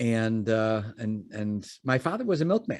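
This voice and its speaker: The voice has an American accent and comes through in a very clean recording with a silent background. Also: man. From Chicago suburbs, US Midwest. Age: 60s. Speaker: podcast guest, entrepreneur. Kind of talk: interview storytelling. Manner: halting, many fillers and repeats.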